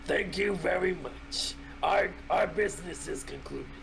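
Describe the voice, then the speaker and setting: A man puts on a gruff character voice at a moderate pace. Background noise is clearly audible. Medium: actual play. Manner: put-on gruff voice acting.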